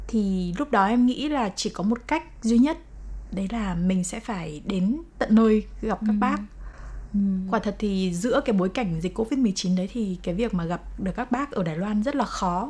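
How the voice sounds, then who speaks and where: At a moderate pace, a woman speaks with a medium pitch, lively intonation and a somewhat breathy voice. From Vietnam. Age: 20s. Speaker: TV editor and mother of liver transplant patient. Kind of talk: interview testimony.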